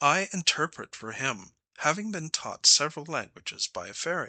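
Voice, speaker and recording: In a put-on character voice, a man speaks at a fairly high pitch. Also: moderate pace. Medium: read story. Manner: courteous, gracious.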